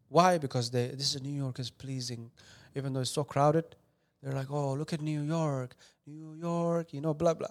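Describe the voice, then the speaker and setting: Speaking in a Somali accent, a man has a fairly high pitch and a moderate pace. The recording is very clean, with a silent background. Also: fairly even intonation. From Somali refugee camp, moved to US 2013. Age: 20s. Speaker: filmmaker. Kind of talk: casual interview.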